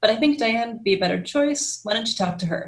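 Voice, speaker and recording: This is a woman with an American accent. Her voice is somewhat breathy. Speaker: startup ecosystem executive director. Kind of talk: interview.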